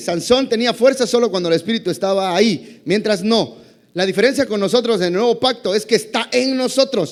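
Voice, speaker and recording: Speech moves along fairly quickly. The pitch shifts in an ordinary way. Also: man. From Mexico, Campeche. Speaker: pastor. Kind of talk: sermon. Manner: fast.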